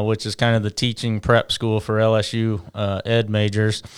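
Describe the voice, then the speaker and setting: This man has a plain, everyday voice at a medium pitch, moving at a moderate pace. The recording is very clean, with a silent background. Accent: American. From Louisiana and Indiana. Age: 30s. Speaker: high school baseball coach. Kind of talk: casual interview chat.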